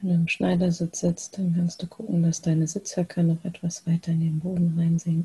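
Dry, close sound with no echo around a woman's dark, mellow, gentle, calm tone, somewhat breathy and monotone, with hardly any pauses. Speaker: meditation guide. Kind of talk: guided meditation. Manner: slow, calm, soothing with long pauses; soft-spoken, gentle, unhurried.

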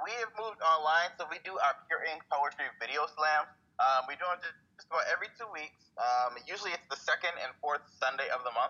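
A man's normal speaking voice, fairly high in pitch, with an American accent, lively intonation and a fairly quick pace. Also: big swings in loudness. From Buffalo, New York. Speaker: poet. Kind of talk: casual interview.

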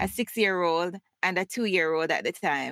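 A woman speaks with a Jamaican accent in a warm tone, at a moderate pace with ordinary pitch variation. The recording is very clean with a silent background and a dry, close sound with no echo. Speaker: podcast host and educator. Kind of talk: casual conversational interview. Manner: warm, laughs often.

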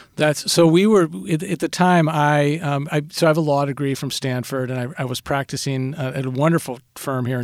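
On a very clean recording with a silent background, a man with an American accent speaks in a normal speaking voice at a fairly high pitch, fairly quick pace and ordinary pitch variation, with hardly any pauses. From Minnesota, Saint Paul. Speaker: business executive. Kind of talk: interview. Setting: studio.

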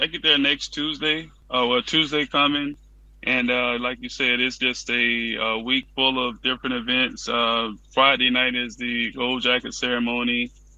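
An unremarkable speaking voice from a man at medium pitch with an American accent, fairly slow pace and fairly even intonation. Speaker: guest, son of a Hall of Fame player. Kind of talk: interview.

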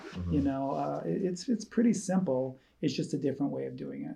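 In an Upper Midwest accent, a man speaks at a moderate pace with a fairly high pitch and a dark, mellow, somewhat breathy tone. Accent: Upper Midwest American. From rural Wisconsin, near Eau Claire. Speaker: church staff member, foster and adoptive parent. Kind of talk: casual chat.

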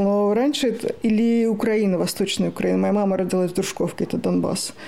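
Audible room echo, noticeable background noise, and a woman speaking moderately fast in a fairly high voice. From Moscow, Russia. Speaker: writer and human rights activist. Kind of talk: interview.

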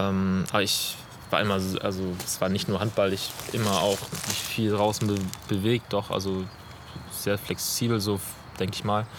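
The speaker uses a monotone, flat intonation with long, frequent pauses over noticeable background noise. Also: man, fairly low pitch for a man, moderate pace. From northern Germany, near Flensburg. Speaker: physiotherapist. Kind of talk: casual interview. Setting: outdoors in a city forest. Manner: hesitant, many fillers.

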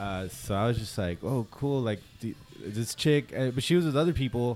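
Music can be heard in the background. A man talks over it at a medium pitch. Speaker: acoustic musician. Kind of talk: casual chat. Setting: bar.

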